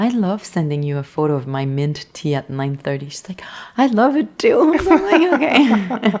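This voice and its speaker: With a Quebec accent, a woman speaks at a moderate pace and medium pitch, her pitch swinging very widely and her loudness shifting a lot. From Quebec, rural. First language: French. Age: 30s. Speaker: artist. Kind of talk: casual chat.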